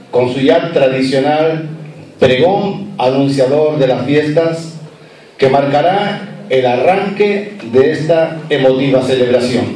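A man speaking at a very slow pace with lively intonation, audible room echo and light background noise. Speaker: event presenter, master of ceremonies. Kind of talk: formal event presenting. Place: hall.

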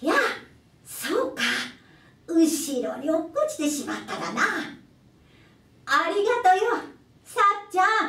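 A woman's put-on character voice, extremely high in pitch with very wide pitch swings, fairly slow with long, frequent pauses and a slight echo. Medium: read story.

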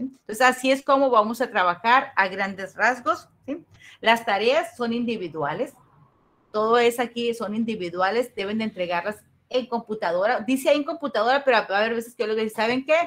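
An animated woman's voice at a fairly quick pace, with ordinary pitch variation. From Mexico, Los Mochis, Sinaloa; Sinaloa, Mexico. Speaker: university teacher. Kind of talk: online class lecture. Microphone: webcam.

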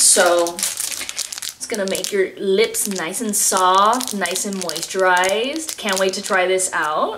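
Through noticeable background noise, a woman speaks at a very slow pace. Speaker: unboxing vlogger. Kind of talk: casual vlog chat. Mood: cheerful, enthusiastic. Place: home room. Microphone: camera far.

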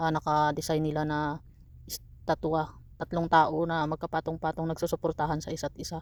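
A woman with a very deep, low pitch speaks fairly quickly in a monotone, flat intonation. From Philippines. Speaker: vlogger, migrant factory worker. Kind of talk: casual vlog narration. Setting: outdoors. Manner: soft-spoken.

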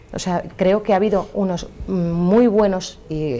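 Intonation is fairly even. The voice has a dark, mellow tone. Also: woman. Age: young. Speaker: primary teacher and local councillor; primary teacher, local councillor. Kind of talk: televised debate. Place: studio. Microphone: lapel.

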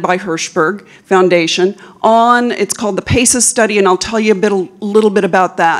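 A woman speaks with ordinary pitch variation. The background is quiet. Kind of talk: conference talk. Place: hall.

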